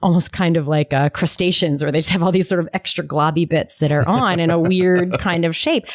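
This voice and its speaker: A woman's unremarkable speaking voice, fairly low-pitched, at a moderate pace, with a dry, close sound, no echo and a quiet background. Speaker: podcast co-host; business facilitator. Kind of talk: podcast conversation.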